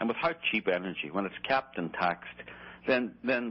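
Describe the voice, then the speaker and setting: This speaker talks at a very fast pace in an Irish accent. The intonation is lively. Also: man. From Ireland. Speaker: documentary filmmaker and journalist. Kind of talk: radio interview. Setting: radio show. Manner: calm, measured.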